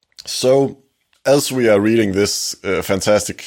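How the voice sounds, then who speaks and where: A man with a Danish accent, fairly low in pitch, with ordinary pitch variation and a very slow pace, on a very clean recording with a silent background. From Denmark. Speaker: podcast host. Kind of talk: scripted narration; casual chat.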